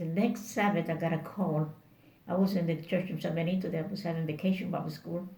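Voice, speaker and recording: A woman speaks with a Spanish accent, her pitch fairly low and her pitch variation ordinary. There is noticeable noise in the background. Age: 80s+. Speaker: Bible worker and missionary. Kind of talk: interview answer.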